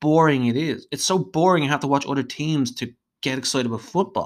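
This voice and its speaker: Speaking at a fairly quick pace in an Irish accent, the voice has an animated tone on a very clean recording with a silent background. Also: man. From Ireland, Dublin. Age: 30s. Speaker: football fan podcaster. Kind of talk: solo monologue podcast. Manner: animated, ranting.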